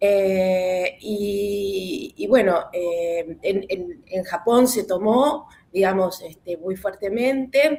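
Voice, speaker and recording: Speaking at a very slow pace with hardly any pauses, a woman uses a dark, mellow tone at medium pitch and lively intonation. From Argentina, Buenos Aires. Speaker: webinar participant. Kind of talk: casual group discussion. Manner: halting, many fillers.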